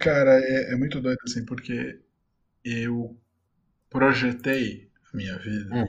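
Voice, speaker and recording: This man talks at a very slow pace, with long, frequent pauses. His pitch is medium and his intonation fairly even. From Brazil, São Caetano do Sul (ABC Paulista, São Paulo). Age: 20s. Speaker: journalist and author. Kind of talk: interview.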